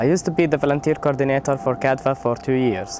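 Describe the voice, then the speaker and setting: A man speaks at a fairly quick pace with an Arabic accent. The sound is dry with no echo, though background noise is noticeable. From Palestine, West Bank. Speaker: volunteer coordinator. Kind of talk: testimony. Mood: earnest, encouraging. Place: street. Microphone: lapel.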